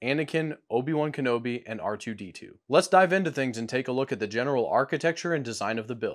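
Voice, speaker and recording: Speech rushes by at a very fast pace with hardly any pauses and lively intonation over a quiet background. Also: man. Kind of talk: build walkthrough presentation. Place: home room.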